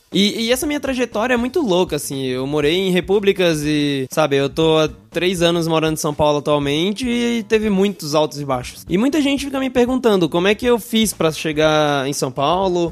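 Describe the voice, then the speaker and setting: Noticeable background noise sits behind a man speaking at a fairly quick pace with hardly any pauses. His pitch is high, with very wide pitch swings. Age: 20s. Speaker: podcast host. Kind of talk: casual monologue. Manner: casual.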